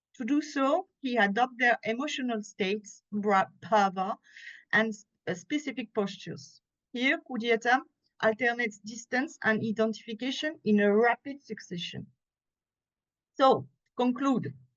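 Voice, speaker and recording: Speaking at a moderate pace with long, frequent pauses, a woman uses lively intonation in a fairly high pitch. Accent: French. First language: French. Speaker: conference presenter, theatre scholar. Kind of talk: academic conference talk. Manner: halting, with self-corrections.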